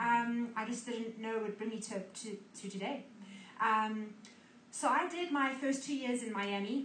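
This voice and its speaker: In a room with audible echo, a woman speaks in a high voice. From South Africa, Cape Town. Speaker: ministry school student. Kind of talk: testimony.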